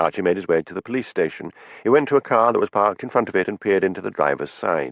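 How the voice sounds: Lively intonation in a natural reading voice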